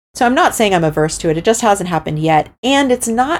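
This woman has a plain, everyday voice. Her intonation is lively. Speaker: artist and illustrator. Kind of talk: interview.

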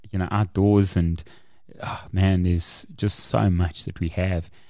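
A man speaks in a dark, mellow tone with a South African accent. The background is quiet. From South Africa, Kempton Park, East Rand. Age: 40s. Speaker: author and motivational speaker. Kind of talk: interview storytelling. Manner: animated.

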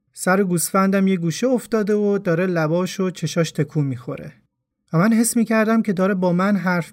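High-pitched man at a fairly quick pace in a very clean recording with a silent background. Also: very even loudness. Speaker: podcast storyteller. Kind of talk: scripted narration.

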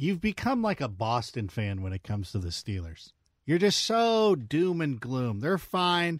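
A man at a fairly slow pace with very wide pitch swings, on a very clean recording with a silent background. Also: fairly high pitch for a man. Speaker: football analyst. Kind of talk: casual sports talk.

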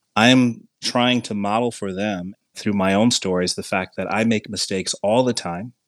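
In a very clean recording with a silent background, a man with an American accent and a plain, everyday voice speaks with fairly low pitch and fairly even intonation, the sound dry and close with no echo. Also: fairly slow pace. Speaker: university teacher and chapter author. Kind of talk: educational podcast discussion.

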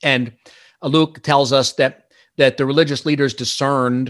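An unremarkable speaking voice from a man with an American accent, medium-pitched with ordinary pitch variation, at a moderate pace in a very clean recording with a silent background. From Pennsylvania, Lehigh Valley. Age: 50s. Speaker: author. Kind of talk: interview.

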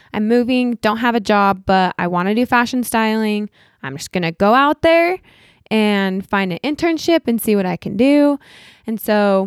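This woman has a normal speaking voice, fairly high in pitch, with an American accent and lively intonation at a moderate pace. The sound is dry and close with no echo, a very clean recording over a silent background. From Utah. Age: 30s. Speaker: artist and social media influencer. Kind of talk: interview conversation.

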